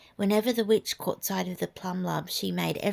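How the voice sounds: This is a natural reading voice. It reads aloud.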